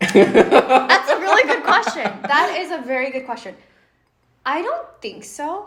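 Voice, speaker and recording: The speaker's voice moves through very wide pitch swings and big swings in loudness. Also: woman, high pitch for a woman. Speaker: podcast co-host. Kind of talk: casual chat.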